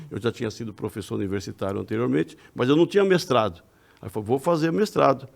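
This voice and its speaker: A man talks at a very fast pace in a medium-pitched voice with some vocal fry, his pitch swinging very widely. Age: 60s. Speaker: religious lecturer and retired accountant. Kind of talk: casual chat. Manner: halting.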